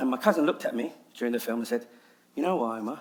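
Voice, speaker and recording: Speaking at a very fast pace, a man talks with a London accent. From London, England. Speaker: nasheed artist and public speaker. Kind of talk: TEDx talk.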